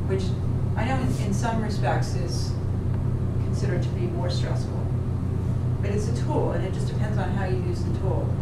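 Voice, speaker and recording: The speaker goes at a moderate pace, with long, frequent pauses. Loud background noise and audible room echo fill the recording. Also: woman. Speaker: psychology instructor. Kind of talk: lecture. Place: classroom.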